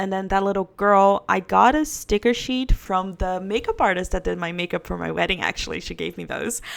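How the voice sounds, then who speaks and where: A woman speaks with a non-native accent at a fairly quick pace. She leaves hardly any pauses, and the recording is very clean with a silent background. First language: not English. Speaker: book vlogger. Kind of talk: casual chat.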